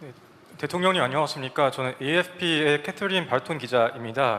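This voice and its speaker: This man talks at a fairly quick pace. His pitch is fairly high, with ordinary pitch variation. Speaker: interpreter. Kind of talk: consecutive interpretation. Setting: press conference room. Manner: fast.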